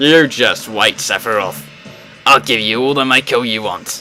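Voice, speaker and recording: Backed by clear music, a man puts on a strained character voice. His medium pitch comes at a moderate pace. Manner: defiant.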